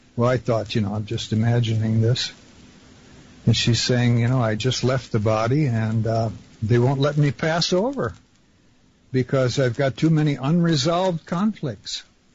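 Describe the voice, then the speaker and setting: This man's voice is somewhat breathy. His pitch is medium. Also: ordinary pitch variation, moderate pace. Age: 70s. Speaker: caller. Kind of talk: phone-in conversation.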